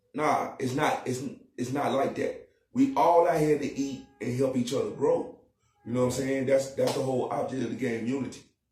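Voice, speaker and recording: There's music in the background and audible room echo as a man speaks at a moderate pace. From Charlotte, North Carolina. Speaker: rapper. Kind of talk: podcast interview.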